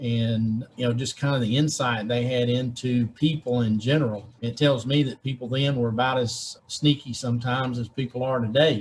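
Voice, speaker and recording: The speaker has a Southern US accent and a somewhat breathy voice. The delivery is monotone and flat, at a moderate pace. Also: man, medium pitch for a man. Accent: Southern American. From Georgia, USA. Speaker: state legislator. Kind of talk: interview answer.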